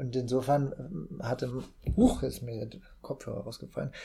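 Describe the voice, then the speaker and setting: Here a man is speaking. His pace is moderate. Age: 40s. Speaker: actor and amateur runner. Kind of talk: casual podcast chat.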